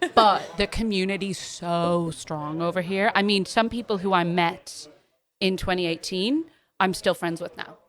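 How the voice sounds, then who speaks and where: A woman speaks at a medium pitch. Her intonation stays fairly even. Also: moderate pace. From Boston then Ireland (Kilkenny from age ten). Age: 20s. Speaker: drag artist. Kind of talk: casual chat. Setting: bar.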